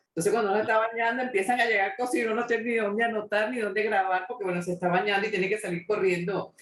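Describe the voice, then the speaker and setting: A woman at a medium pitch, talking at a very fast pace with hardly any pauses and fairly even intonation, over noticeable background noise. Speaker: interviewer, talk show host. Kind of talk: interview question.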